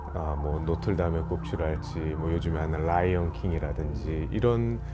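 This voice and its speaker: A man with a very deep, low pitch talks at a moderate pace with ordinary pitch variation, and audible room echo surrounds his voice. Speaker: opera singer, baritone. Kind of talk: interview. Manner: formal, polite.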